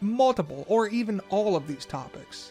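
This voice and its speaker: Over music in the background, a man speaks at a fairly quick pace with ordinary pitch variation. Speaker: video essayist. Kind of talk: video essay narration.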